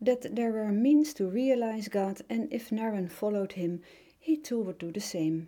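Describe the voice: In a Dutch accent, a woman speaks at a fairly high pitch with a dark, mellow tone. Her intonation is lively.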